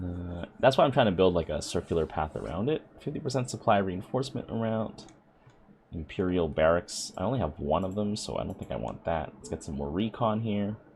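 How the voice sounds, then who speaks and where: The pitch moves in very wide swings. Vocal fry runs through the voice. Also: man. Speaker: gaming YouTuber. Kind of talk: gameplay commentary. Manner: casual, thinking aloud; loud.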